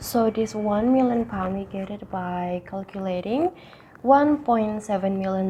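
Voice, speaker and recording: A woman at a medium pitch with an Indonesian accent, fairly slow and with ordinary pitch variation, over noticeable background noise. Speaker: university student. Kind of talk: tutorial. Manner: occasional stutter.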